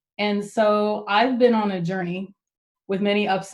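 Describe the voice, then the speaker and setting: With monotone, flat intonation, the voice moves at a fairly slow pace. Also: woman. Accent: slight Texan. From Texas. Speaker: tech speaker. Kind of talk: talk to a user group.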